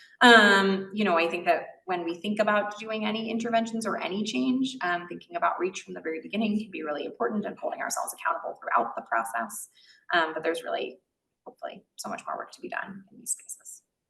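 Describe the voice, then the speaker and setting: Very fast and with big swings in loudness, a woman speaks in a medium pitch with very wide pitch swings. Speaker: physician researcher in maternal fetal medicine. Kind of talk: lecture.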